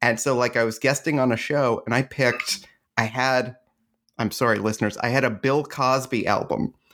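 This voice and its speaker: A man speaks at a moderate pace in a normal speaking voice, his pitch medium and his loudness very even. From Canada. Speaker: podcast host and comedian. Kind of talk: casual chat.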